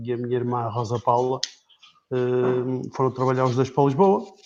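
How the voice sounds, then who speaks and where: A man talks at a fairly slow pace, with long, frequent pauses. His intonation stays fairly even. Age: 40s. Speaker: club board member and accountant. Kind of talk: interview on a live stream. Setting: Facebook live stream. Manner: halting.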